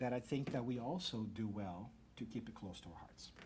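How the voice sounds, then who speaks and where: A man's somewhat breathy voice with a dark, mellow tone and a medium pitch. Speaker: speaker giving a talk on mediumship. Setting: stage, addressing an audience. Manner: fast talker; excitable, enthusiastic.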